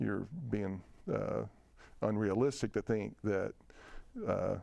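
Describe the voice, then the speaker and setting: A man with a Tennessee accent talks at a very slow pace. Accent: Southern US (Tennessee). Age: 60s. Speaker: whiskey distiller. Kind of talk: interview conversation. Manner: halting, many fillers and restarts.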